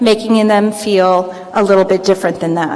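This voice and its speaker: A woman speaks at a moderate pace in an American accent, her pitch fairly high. Noticeable background noise runs under her voice. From Florida, US. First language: Greek. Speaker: commencement speaker. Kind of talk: commencement speech. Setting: field house with audience.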